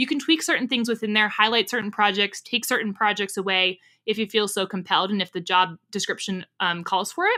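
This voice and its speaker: A woman speaks at a medium pitch with a bright, sharp, energetic tone and ordinary pitch variation. She goes at a fairly quick pace with hardly any pauses, in a very clean recording with a silent background. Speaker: career coach and podcast host. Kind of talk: podcast monologue with advice. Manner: fast.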